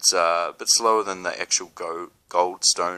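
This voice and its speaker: A man talks with a New Zealand accent. His pace is moderate. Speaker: spiritual video blogger. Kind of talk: casual talk to camera. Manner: halting, many fillers.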